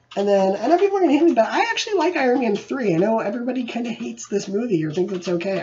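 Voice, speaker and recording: Over noticeable background noise, a high-pitched man talks at a very fast pace with very wide pitch swings. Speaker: movie reviewer. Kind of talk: casual collection showcase monologue. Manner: casual, animated.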